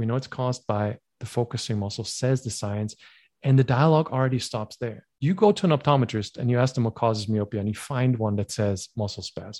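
In a very clean recording with a silent background, a man uses a plain, everyday voice at medium pitch, speaking at a fairly quick pace with ordinary pitch variation. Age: 40s. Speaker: myopia self-help educator. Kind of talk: interview.

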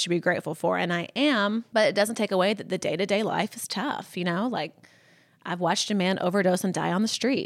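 On a very clean recording with a silent background, a woman talks at a fairly quick pace in a medium pitch with ordinary pitch variation. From US South, Columbus, Mississippi. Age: 30s. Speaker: fashion influencer. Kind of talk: casual interview.

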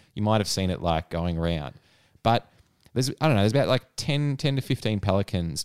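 A man's fairly low voice with an Australian accent, lively intonation, and a dry, close sound with no echo on a very clean recording against a silent background. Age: 30s. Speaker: podcast co-host. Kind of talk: casual chat.

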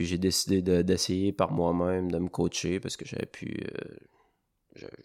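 With a Quebec accent, a man speaks in a very deep, low pitch. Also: very clean recording, silent background. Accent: Québécois French. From Quebec, Charlevoix (Baie-Saint-Paul). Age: 20s. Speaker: bus driver and trail runner. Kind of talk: interview.

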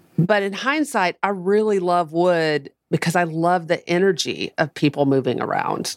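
Speaking with a Southern US accent at a moderate pace, the voice shows ordinary pitch variation on a very clean recording with a silent background and a dry, close sound with no echo. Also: woman. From US South, Nashville, Tennessee. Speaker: music manager. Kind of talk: casual interview.

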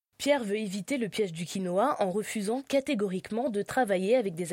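A woman's plain, everyday voice at a medium pitch, fairly quick in pace, with lively intonation, on a very clean recording with a silent background. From France, Lyon. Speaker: podcast host. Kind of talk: scripted narration.

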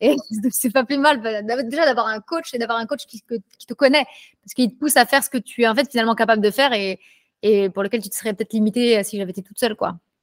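Ordinary pitch variation at a very fast pace. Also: woman, fairly high pitch for a woman. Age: 20s. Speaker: street workout athlete. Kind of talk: casual chat.

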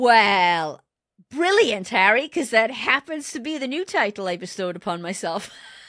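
With a Welsh accent and an animated, bright, sharp tone, a woman speaks at a moderate pace and a fairly high pitch, her voice swinging very widely, in a very clean recording with a silent background. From South Wales. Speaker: automotive leadership consultant. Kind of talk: interview conversation.

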